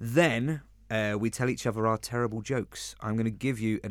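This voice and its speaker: In a London accent, a man talks at a moderate pace with fairly even intonation. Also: very clean recording, silent background. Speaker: podcast co-host. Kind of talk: casual chat; scripted narration. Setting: studio.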